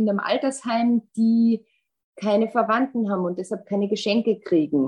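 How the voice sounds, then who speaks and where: A woman's somewhat breathy, fairly high voice with an Austrian accent, at a moderate pace and with ordinary pitch variation. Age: 40s. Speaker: insurance executive. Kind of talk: casual interview.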